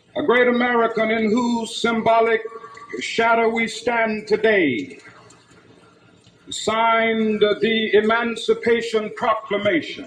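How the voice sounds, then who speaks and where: The speech moves at a very slow pace with fairly even intonation. There is noticeable background noise. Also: man, extremely high pitch for a man. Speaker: civil rights leader. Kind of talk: political speech to a mass rally. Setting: outdoor rally. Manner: rhythmic, powerful oratorical cadence.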